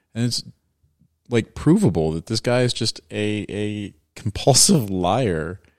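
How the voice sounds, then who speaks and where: A man with an American accent speaks fairly slowly in a plain, everyday voice, fairly low in pitch with ordinary pitch variation. The recording is very clean and dry, close with no echo, over a silent background. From Washington DC area. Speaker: podcast co-host. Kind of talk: casual chat.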